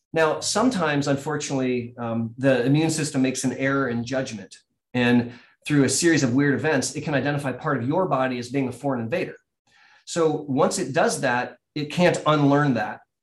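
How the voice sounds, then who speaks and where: A man with an American accent has an unremarkable speaking voice at fairly high pitch. He talks at a fairly quick pace with ordinary pitch variation. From US Midwest (Columbus, Ohio). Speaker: neurologist. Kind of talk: explanatory interview.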